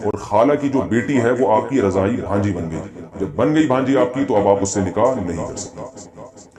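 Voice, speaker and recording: The intonation is lively, heard over noticeable background noise. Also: man, fairly low pitch for a man. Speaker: Islamic scholar answering viewers' religious questions. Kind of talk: religious Q&A lecture.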